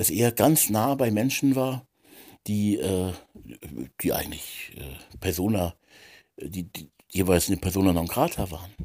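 A man with a fairly low pitch and a dark, mellow tone speaks at a fairly slow pace, leaving long, frequent pauses. His intonation is lively, and the recording is very clean with a silent background. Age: 50s. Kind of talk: monologue reflection. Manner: hesitant with many fillers.

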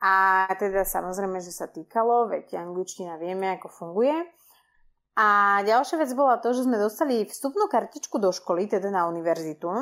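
A woman's plain, everyday voice at medium pitch and moderate pace, with ordinary pitch variation, on a very clean recording with a silent background. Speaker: guest who studied abroad. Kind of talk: casual chat. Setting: live audio room.

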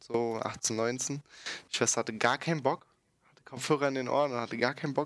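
A man with an ordinary speaking voice, moderate pace and ordinary pitch variation, in a very clean recording with a silent background and a dry, close sound with no echo. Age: 20s. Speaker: podcast guest, school friend of co-host. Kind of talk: casual chat.

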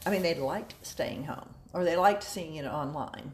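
A woman with a plain, everyday voice, fairly low-pitched, lively in intonation, at a moderate pace. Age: 60s. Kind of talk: casual chat.

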